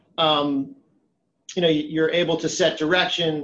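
This man has an unremarkable speaking voice with a fairly high pitch. His intonation is fairly even, and his pace is moderate. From rural Massachusetts. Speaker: private equity investor. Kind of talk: interview.

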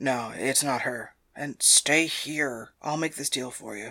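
In a put-on character voice, a man talks fairly slowly with a raspy, medium-pitched sound and fairly even intonation. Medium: audio drama. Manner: dry, cautionary.

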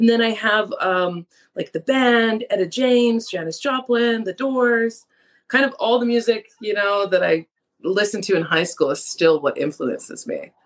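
The woman has a fairly high pitch with ordinary pitch variation. She talks at a moderate pace. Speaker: singer-songwriter. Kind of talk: casual interview.

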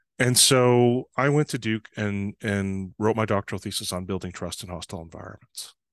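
An ordinary speaking voice from a man, fairly low in pitch with ordinary pitch variation, at a moderate pace, with a dry, close sound with no echo and a quiet background. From northern Canada, small town. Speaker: trust consultant. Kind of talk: interview.

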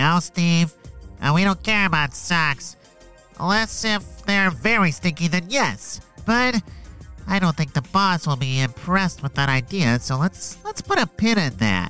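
Over clear music in the background, a man with a high pitch speaks at a moderate pace with lively intonation. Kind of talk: kids' audio story comedy. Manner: exasperated, sarcastic.

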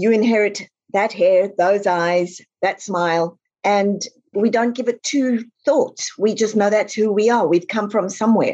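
A woman with a South African accent speaks at a fairly slow pace in a medium pitch. Her tone is dark and mellow, and her loudness stays very even. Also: ordinary pitch variation. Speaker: author. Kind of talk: interview.

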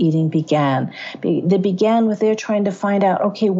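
The voice reads in an unforced way. Its pitch varies in an ordinary way.

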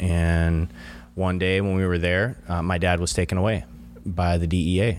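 A man with an American accent speaks at a very deep, low pitch. His loudness stays very even and his pace is moderate. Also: ordinary pitch variation. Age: 40s. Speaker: farmer and father. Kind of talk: testimony.

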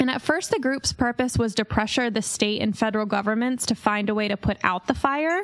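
In an ordinary speaking voice with an American accent, a woman talks at a fairly quick pace and fairly high pitch, with ordinary pitch variation, very even loudness and hardly any pauses. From Pennsylvania, Centralia area. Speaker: podcast host. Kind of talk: casual storytelling.

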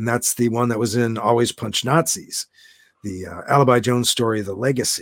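A man speaks at a fairly quick pace with a medium pitch. The sound is dry and close with no echo, an ordinary speaking voice. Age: 50s. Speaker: sci-fi and comic book author. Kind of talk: casual chat.

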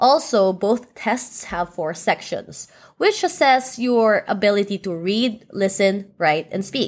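On a very clean recording with a silent background, a woman with a Filipino accent speaks at a very slow pace, medium in pitch and lively in intonation, with hardly any pauses. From Philippines. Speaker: podcast co-host. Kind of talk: casual chat.

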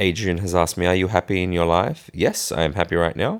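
A man speaks with an Australian accent in a very deep, low pitch. The recording is very clean, with a silent background. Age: 20s. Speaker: podcast host. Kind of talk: casual Q&A monologue.

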